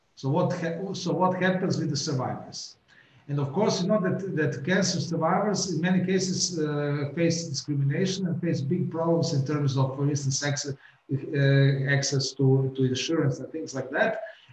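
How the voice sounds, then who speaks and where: Audible room echo surrounds speech at a moderate pace with ordinary pitch variation. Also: man, fairly high pitch for a man. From Croatia. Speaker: politician. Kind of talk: welcome address. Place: office. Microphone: webcam.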